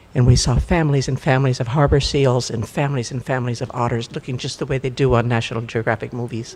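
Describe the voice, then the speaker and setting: A somewhat breathy man's voice at medium pitch, fairly quick in pace and fairly even in intonation. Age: 80s+. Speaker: congregation member. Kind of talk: church announcement of joys and concerns.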